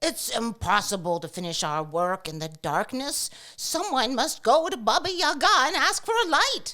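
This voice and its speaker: Putting on a character voice, a woman speaks high with very wide pitch swings and hardly any pauses. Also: moderate pace. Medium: read story. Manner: loud.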